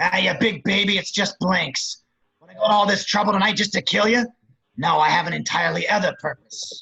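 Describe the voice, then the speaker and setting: A put-on character voice, raspy and menacing, raised and projected, at a fairly quick pace with big swings in loudness. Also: man, high pitch for a man. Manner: sly, menacing.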